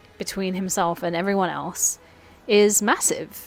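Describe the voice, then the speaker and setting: Music plays behind a woman's voice. She talks at a fairly slow pace. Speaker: film video essayist. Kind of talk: casual film review monologue.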